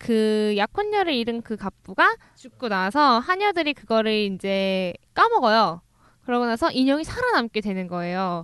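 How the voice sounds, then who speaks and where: A woman's fairly high-pitched voice, a normal speaking voice with lively intonation at a moderate pace. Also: dry, close sound with no echo. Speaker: book-loving co-host. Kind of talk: casual chat.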